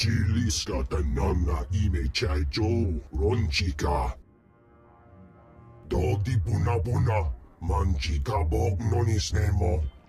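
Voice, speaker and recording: A man's put-on character voice, growling at a very deep, low pitch and a fairly slow pace, over clear music in the background. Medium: video game. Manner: imperious, speaks alien language.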